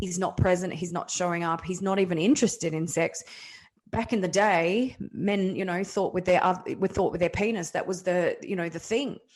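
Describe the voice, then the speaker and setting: Medium-pitched woman's voice with an Australian accent and fairly even intonation. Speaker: kinesiologist and men's health practitioner. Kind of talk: interview. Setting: podcast interview. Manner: fast.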